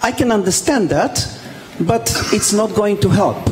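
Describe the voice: Over faint background noise, a man with a high pitch talks at a fairly slow pace with lively intonation.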